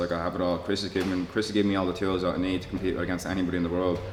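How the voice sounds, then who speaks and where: A man with a very deep, low pitch talks at a very fast pace, with audible room echo. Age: 20s. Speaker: mixed martial artist. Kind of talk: interview. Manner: halting, with many fillers and repeated words.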